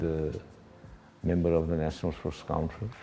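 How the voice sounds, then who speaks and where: A man speaks with a very deep, low pitch. Music plays in the background, and audible room echo comes through. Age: 70s. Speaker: media and sports administrator. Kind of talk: interview. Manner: halting, many fillers.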